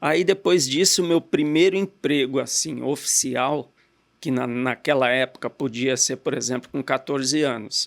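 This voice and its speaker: An ordinary speaking voice moves at a fairly slow pace with ordinary pitch variation on a very clean recording with a silent background. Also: man, medium pitch for a man. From Brazil, Guarulhos (São Paulo area). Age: 50s. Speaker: entrepreneur, car dealer. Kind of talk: interview.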